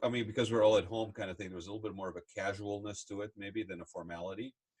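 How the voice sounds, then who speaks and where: Somewhat breathy, a man rushes along at a very fast pace. His intonation is fairly even. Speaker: podcast host. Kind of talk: casual interview conversation.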